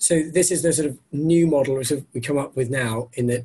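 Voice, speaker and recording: Somewhat breathy and at a moderate pace, a man speaks with an English accent. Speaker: doctor. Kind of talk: webinar presentation. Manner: hesitant, many fillers.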